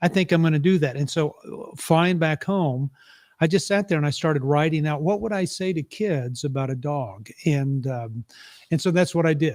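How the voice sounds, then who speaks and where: A man with an American accent speaks at a moderate pace in a fairly high pitch, with ordinary pitch variation. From West Texas, Louisiana and Oklahoma. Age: 60s. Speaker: author and parenting speaker. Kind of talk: casual interview. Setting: virtual live event.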